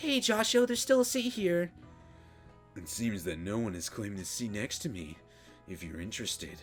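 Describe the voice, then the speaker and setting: Over clear music in the background, a man uses a put-on character voice at medium pitch and a moderate pace, with long, frequent pauses. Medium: game stream. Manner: smooth, polite.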